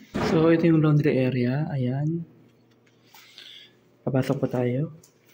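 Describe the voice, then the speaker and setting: A man's fairly high-pitched voice at a very slow pace, with fairly even intonation and noticeable background noise. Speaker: vlogger. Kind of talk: vlog walkthrough. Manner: soft-spoken, quiet.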